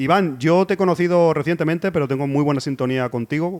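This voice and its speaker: A normal speaking voice from a man, fairly quick in pace, with ordinary pitch variation. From Spain, Cornellà near Barcelona. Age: middle-aged. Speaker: podcast host. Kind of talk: casual interview chat. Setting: bar.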